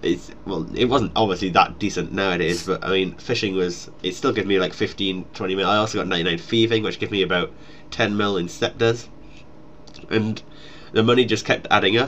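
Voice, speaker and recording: A man with a Geordie accent talks at a fairly quick pace, his fairly low voice keeping a fairly even intonation. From northeast England, Newcastle. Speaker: gaming YouTuber. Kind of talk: casual Q&A chat.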